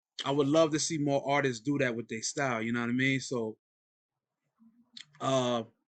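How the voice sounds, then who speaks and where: With a New York accent, a man of medium pitch speaks at a moderate pace and fairly even intonation, leaving long, frequent pauses. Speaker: podcast host. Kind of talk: casual interview.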